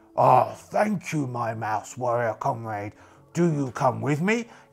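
Using a put-on character voice, a man speaks at medium pitch. His pace is fairly slow. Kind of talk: solo RPG character voice. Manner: proud, easily distracted.

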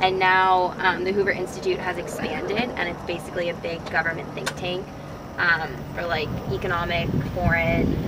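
A woman speaks at a moderate pace in a dry sound with no echo, over loud background noise. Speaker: student tour guide. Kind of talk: tour commentary. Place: open country. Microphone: camera far.

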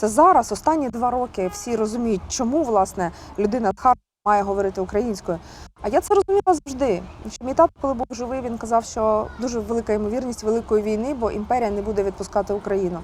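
A woman talks at a very fast pace in a fairly high voice with ordinary pitch variation. The recording is very clean, with a silent background. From Kharkiv, Ukraine. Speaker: singer. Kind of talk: interview answer.

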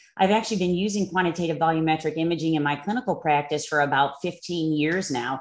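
Against a quiet background, a woman with an American accent and a plain, everyday voice talks at a fairly quick pace, with fairly low pitch and ordinary pitch variation. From US. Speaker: neuroradiologist. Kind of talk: lecture. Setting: online webinar. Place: home room. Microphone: webcam.

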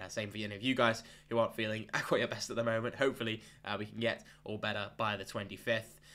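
Against a silent background in a very clean recording, a man at medium pitch speaks very fast in a bright, sharp tone with monotone, flat intonation. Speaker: fantasy football analyst. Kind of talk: tutorial. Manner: casual, conversational.

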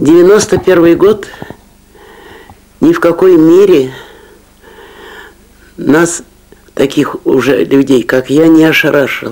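At a very slow pace with long, frequent pauses, a woman speaks at a fairly low pitch with ordinary pitch variation. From Moscow region, Russia. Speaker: former Bolshevik, witness of early Soviet era. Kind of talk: interview answer. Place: home room.

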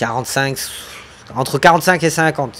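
A man over light background noise. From France. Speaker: gaming streamer. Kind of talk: live gameplay stream chat. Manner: animated.

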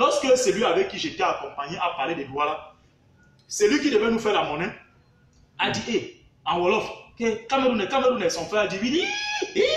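Amid audible room echo, a man with a high voice speaks at a moderate pace, his pitch swinging very widely and his speech broken by long, frequent pauses. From Cameroon. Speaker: university researcher and political commentator; political commentator. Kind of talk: heated political commentary interview. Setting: live online video stream. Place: home room. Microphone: phone near.

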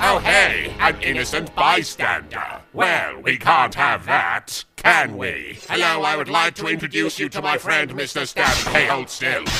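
Music plays in the background. The speaker talks at a fairly slow pace. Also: man, fairly high pitch for a man. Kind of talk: comic overacting. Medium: game stream. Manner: sing-song, gleeful, menacing.

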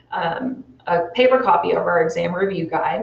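The woman's moderately paced speech carries audible echo from the room. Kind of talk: interview answer. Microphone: lapel.

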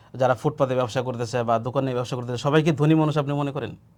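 In a very clean recording with a silent background, a man speaks with a fairly high pitch. He has a plain, everyday voice and fairly even intonation. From Bangladesh, Sirajganj char area on the Jamuna. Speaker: madrasa teacher and preacher. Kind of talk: interview.

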